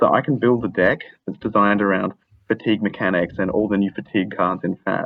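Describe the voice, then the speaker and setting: A man with an Australian accent talks at a very fast pace. His pitch is fairly low and his intonation fairly even. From Australia, Adelaide. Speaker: caller. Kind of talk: casual chat.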